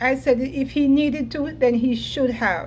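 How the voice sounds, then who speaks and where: A woman is speaking over noticeable background noise. Room echo is audible. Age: 70s. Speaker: entertainment vlogger. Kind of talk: casual commentary vlog. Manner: conversational, filler-heavy.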